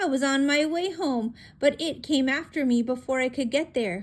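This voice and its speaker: Using a put-on character voice, a woman talks at a high pitch with ordinary pitch variation. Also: moderate pace. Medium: read story. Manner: hesitant, stammering, fearful.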